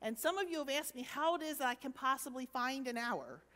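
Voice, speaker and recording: A woman talks at a fairly quick pace in a bright, sharp tone with ordinary pitch variation. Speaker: preacher. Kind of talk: sermon. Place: church.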